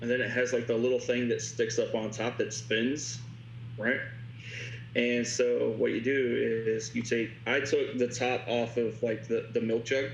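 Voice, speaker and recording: Audible room echo and noticeable background noise surround a man with an American accent, whose intonation is flat and monotone and whose loudness stays very even. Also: medium pitch for a man. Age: 30s. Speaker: tattoo artist. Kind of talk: casual chat. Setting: video call. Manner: halting.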